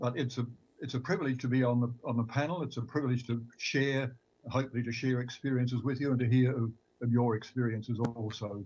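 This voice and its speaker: Somewhat breathy speech rushes by at a very fast pace with fairly even intonation. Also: man, medium pitch for a man. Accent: Australian. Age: 80s+. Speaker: retired pastor. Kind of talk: panel discussion. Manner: halting, repeats words.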